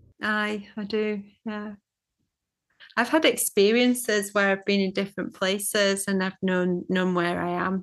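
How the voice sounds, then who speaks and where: With a Scottish accent, a woman speaks at a fairly slow pace in a medium pitch and fairly even intonation. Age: 50s. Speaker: psychotherapist and shamanic teacher. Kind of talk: interview. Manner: halting, many fillers and repeats.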